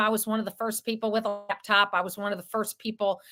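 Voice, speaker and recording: A woman with a Southern US accent and a bright, sharp tone, in a very clean recording with a silent background. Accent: Southern American. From US South. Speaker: radio talk-show host. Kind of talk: interview.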